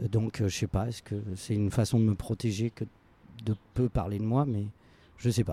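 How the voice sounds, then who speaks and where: Recorded dry and close with no echo against a silent background in a very clean take, the voice is somewhat breathy and dark and mellow in tone, with fairly even intonation and long, frequent pauses. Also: man, fairly low pitch for a man, moderate pace. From France, Lyon. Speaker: actor and drama teacher. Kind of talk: interview conversation. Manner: hesitant, repeats words.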